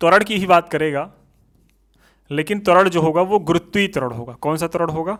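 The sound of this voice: Speaking at a fairly quick pace, a man with a fairly high pitch and fairly bright tone shows ordinary pitch variation.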